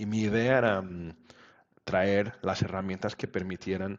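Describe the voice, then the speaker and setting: A Portuguese accent at a fairly slow pace, with fairly even intonation. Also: man. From Portugal. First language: Portuguese (speaking Spanish). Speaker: web standards expert. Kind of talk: interview. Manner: halting.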